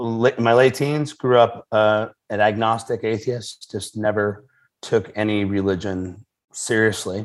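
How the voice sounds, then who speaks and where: He has an unremarkable speaking voice, sitting at a medium pitch and moving at a fairly slow pace. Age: 40s. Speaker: pastor and author. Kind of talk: interview conversation.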